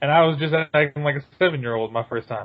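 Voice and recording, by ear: A man talks at a fast pace with fairly high pitch. His pitch variation is ordinary.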